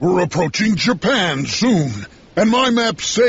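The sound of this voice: An unforced reading voice carries the recording.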